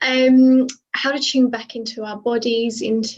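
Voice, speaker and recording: A woman speaks with a British accent. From UK. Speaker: burnout and alignment coach. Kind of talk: panel discussion. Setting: video call.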